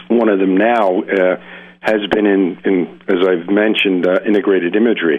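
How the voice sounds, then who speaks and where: A plain, everyday voice at a moderate pace, with fairly even intonation and very even loudness. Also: man, fairly low pitch for a man. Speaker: psychologist and hypnotherapist. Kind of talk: interview. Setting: phone call.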